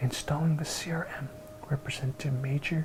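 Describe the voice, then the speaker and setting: Noticeable background noise surrounds a man whispering at a fairly quick pace. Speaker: ASMR creator. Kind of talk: ASMR book reading. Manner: soft-spoken, whispery.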